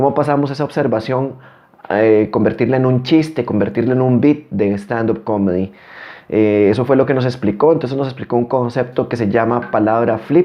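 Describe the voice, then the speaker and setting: A man talks at a moderate pace in an ordinary speaking voice with ordinary pitch variation. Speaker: comedian, comedy show host. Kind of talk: show introduction to camera.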